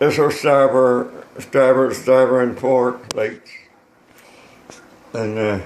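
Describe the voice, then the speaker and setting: With a Newfoundland accent, a man talks at a very slow pace with long, frequent pauses, a medium pitch and fairly even intonation. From Newfoundland, Canada. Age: 80s+. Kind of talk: casual talk showing a model boat. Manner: alert.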